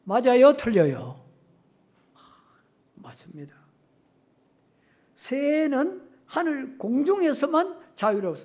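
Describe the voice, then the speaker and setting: Audible room echo surrounds a man who speaks very slowly with very wide pitch swings. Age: 70s. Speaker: retired pastor. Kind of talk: sermon. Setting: church. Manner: halting, with many fillers; animated, with sound effects.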